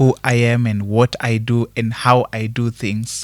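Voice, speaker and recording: Soft-spoken and very slow, a man talks at a medium pitch with monotone, flat intonation. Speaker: singer. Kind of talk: interview answer.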